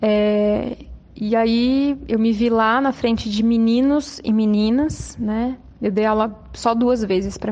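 Her intonation monotone and flat, a woman speaks with a fairly high pitch. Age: 30s. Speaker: social worker and former educator. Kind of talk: recorded testimony. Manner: halting, many fillers.

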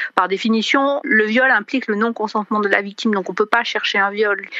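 A woman with a fairly high pitch and ordinary pitch variation speaks while noticeable noise fills the background. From France. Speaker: feminist writer. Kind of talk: interview.

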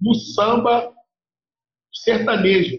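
The speaker is a man with a high pitch. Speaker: percussionist. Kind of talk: interview. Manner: animated.

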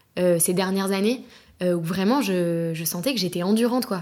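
She has a normal speaking voice at a medium pitch, with ordinary pitch variation and a moderate pace. The recording is very clean, the background silent. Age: 20s. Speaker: podcast guest. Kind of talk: casual chat.

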